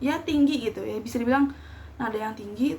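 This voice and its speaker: With noticeable background noise around her, a woman talks at a fairly quick pace. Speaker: university student. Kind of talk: casual storytelling to camera. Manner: rambling, unscripted.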